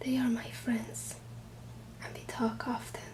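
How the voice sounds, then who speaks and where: Against noticeable background noise, a soft-spoken woman talks at a fairly slow pace. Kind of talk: ASMR book reading.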